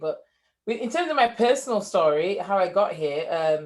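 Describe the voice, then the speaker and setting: A woman speaks at a moderate pace with a northern English accent. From northern England, Leeds. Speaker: entrepreneur, former engineer. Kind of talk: interview.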